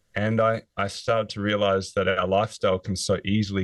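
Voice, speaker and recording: At a fairly quick pace, a man with an Australian accent speaks in a fairly low pitch with fairly even intonation. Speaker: author, former physiotherapist. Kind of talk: interview.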